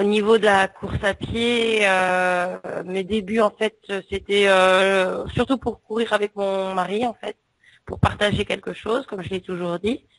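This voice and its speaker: A woman's medium-pitched voice with fairly even intonation moves at a very slow pace. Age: 40s. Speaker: ultramarathon runner. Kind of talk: interview.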